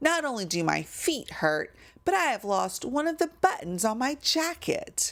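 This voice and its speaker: This woman uses a put-on character voice with a high pitch. She speaks at a moderate pace. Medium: read story. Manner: fussy, complaining.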